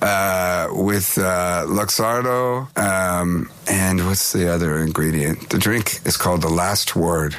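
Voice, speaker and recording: A man with an American accent speaks at a very slow pace in a very deep, low pitch. His loudness stays very even over noticeable background noise. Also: ordinary pitch variation, hardly any pauses. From California. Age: 50s. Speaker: touring musician. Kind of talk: interview.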